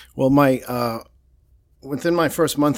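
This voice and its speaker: Speaking at a moderate pace, a man with a Boston accent comes through on a very clean recording with a silent background. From Boston, Massachusetts. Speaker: political reporter. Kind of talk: casual interview.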